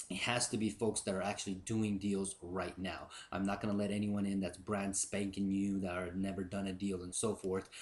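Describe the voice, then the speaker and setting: A fairly low-pitched man at a moderate pace, in a monotone, flat intonation, against a quiet background. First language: Japanese. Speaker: real estate investor and video blogger. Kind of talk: casual vlog announcement. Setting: recording at girlfriend's house. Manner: casual, many fillers.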